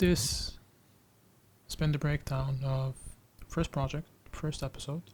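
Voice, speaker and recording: A somewhat breathy man's voice, fairly high in pitch, with fairly even intonation, a fairly slow pace and long, frequent pauses. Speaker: photographer. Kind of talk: tutorial. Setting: indoors. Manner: calm, not raising voice.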